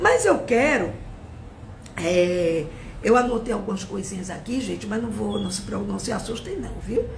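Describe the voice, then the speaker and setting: A woman's animated tone at a fairly slow pace, with long, frequent pauses and audible room echo. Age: 60s. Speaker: teacher. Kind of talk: live-stream political commentary. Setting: Instagram live stream.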